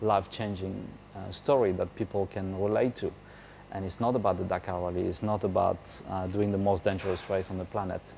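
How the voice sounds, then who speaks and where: With a French accent, a man speaks at a fairly quick pace in a fairly low pitch, his tone dark and mellow and his intonation monotone and flat. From France. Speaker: motorcycle rally racer. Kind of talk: interview. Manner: hesitant, many fillers.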